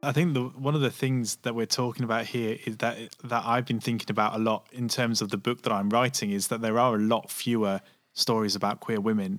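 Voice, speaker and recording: A man speaks at a fairly quick pace in an unremarkable speaking voice, medium-pitched with fairly even intonation, on a very clean recording with a silent background. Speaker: podcast host. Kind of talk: casual chat.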